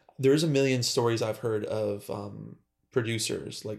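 Speaking in a plain, everyday voice at a medium pitch, a man keeps a moderate pace with ordinary pitch variation. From Western New York (Buffalo area). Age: 20s. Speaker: professional musician. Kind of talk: casual chat.

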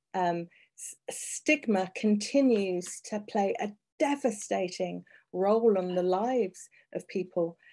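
A British accent with a dark, mellow tone and ordinary pitch variation. The pace is very slow, the loudness swings widely, and the background is quiet. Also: woman, medium pitch for a woman. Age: 50s. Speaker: HIV activist and broadcaster. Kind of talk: interview.

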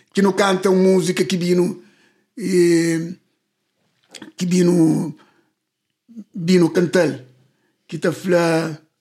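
Pausing long and often, a man speaks at a very slow pace. His high voice stays monotone and flat. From Cape Verde, Tarrafal. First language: Cape Verdean Creole (speaking Portuguese). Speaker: singer. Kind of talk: interview.

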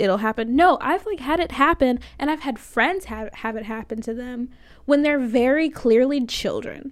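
A high-pitched woman speaks at a moderate pace with lively intonation. The recording is very clean, with a silent background. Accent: American. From Florida, US. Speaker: college radio host. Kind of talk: casual solo talk show monologue. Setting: recording from home. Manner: soft-spoken, talks quietly.

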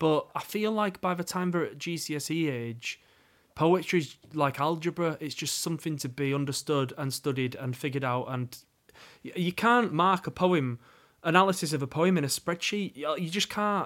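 Pitched fairly high, a man speaks with a Yorkshire accent and ordinary pitch variation. The recording is very clean, with a silent background. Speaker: spoken word poet. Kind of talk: casual chat. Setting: studio. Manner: fast.

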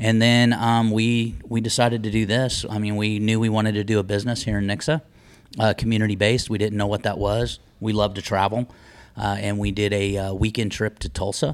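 A man with an American accent uses a normal speaking voice at a fairly low pitch and a fairly quick pace. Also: fairly even intonation. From Las Vegas, Nevada. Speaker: business owner. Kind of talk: casual chat. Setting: on location at his business.

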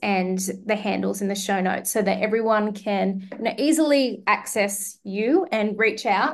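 A woman talks with an Australian accent. Her pitch is fairly high and her pace moderate. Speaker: podcast host. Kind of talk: podcast interview.

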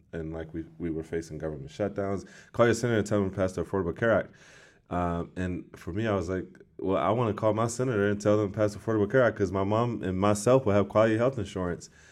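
Against a quiet background, the speaker talks at a very fast pace with ordinary pitch variation. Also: man, fairly low pitch for a man. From Washington, D.C. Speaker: political advocate and community organizer. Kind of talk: interview. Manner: halting, many fillers.

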